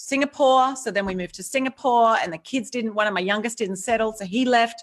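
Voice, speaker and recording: A woman talks at a fairly quick pace with an Australian accent. Her pitch is fairly high. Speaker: author and courage speaker. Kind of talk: interview. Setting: live video stream.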